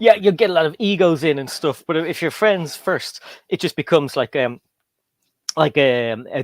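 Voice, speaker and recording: With lively intonation at a fairly high pitch, a man speaks at a moderate pace in a dry, close sound with no echo. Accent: Irish. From Ireland. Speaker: LEGO YouTuber and guest host. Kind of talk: casual chat. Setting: livestream.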